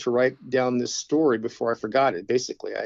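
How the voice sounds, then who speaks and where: An unremarkable speaking voice moves at a fairly quick pace with ordinary pitch variation. The sound is dry and close, with no echo. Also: man. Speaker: author, arborist. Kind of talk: interview.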